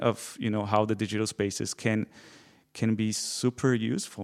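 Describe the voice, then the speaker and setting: A man with a Portuguese accent, fairly low in pitch, at a moderate pace. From Brazil. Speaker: PhD student, former scriptwriter. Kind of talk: live interview with audience. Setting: stage with audience.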